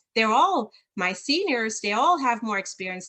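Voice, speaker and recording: Over a quiet background, a woman with a German accent speaks fairly slowly in a fairly high, bright, sharp tone. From rural southern Germany near Switzerland. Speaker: leadership consultant. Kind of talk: interview.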